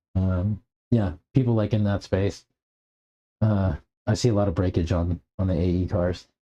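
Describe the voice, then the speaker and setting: At a moderate pace with long, frequent pauses, a man with a very deep, low voice speaks in a dark, mellow, somewhat breathy tone and fairly even intonation. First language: American Sign Language. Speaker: RC car hobbyist streamer. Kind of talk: casual livestream chat. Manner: halting, many fillers.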